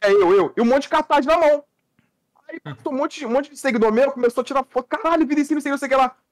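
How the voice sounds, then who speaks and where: The delivery is very fast with an animated tone and ordinary pitch variation, in a dry, close sound with no echo. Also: man, extremely high pitch for a man. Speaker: podcast co-host. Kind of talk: casual chat.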